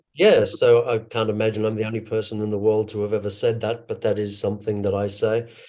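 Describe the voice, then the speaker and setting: A man with an American accent speaks very fast and with hardly any pauses, his fairly low voice dark and mellow in tone, flat and monotone, against a quiet background. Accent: sounds Australian. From US West Coast, Los Angeles. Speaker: actor, director and business coach. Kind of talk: online roundtable discussion.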